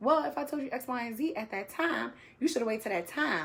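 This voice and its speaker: A woman's fairly quick speech with lively intonation and vocal fry. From Brooklyn, New York. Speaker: podcast host. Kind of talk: casual panel chat. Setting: live stream. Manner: blunt, forceful.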